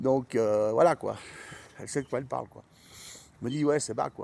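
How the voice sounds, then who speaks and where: Medium in pitch, a man's voice runs at a fairly quick pace. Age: 40s. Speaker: vlogger. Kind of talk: casual chat. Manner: halting.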